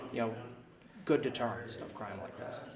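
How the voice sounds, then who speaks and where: Noticeable background noise fills the recording. Through it, a man's voice is heard. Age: 20s. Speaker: city council candidate. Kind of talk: interview answer. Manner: casual, many filler words.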